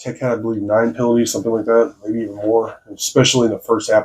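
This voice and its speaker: The voice belongs to a man. It rests at a medium pitch. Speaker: sports commentator. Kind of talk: postgame analysis video. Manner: hesitant, many fillers.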